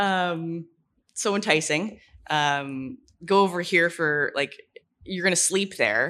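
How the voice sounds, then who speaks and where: A woman speaks very slowly in a bright, sharp tone, with long, frequent pauses. Her pitch is fairly low, with ordinary variation. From Ontario, Canada. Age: 30s. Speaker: barber. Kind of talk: casual interview. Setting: barbershop, in person.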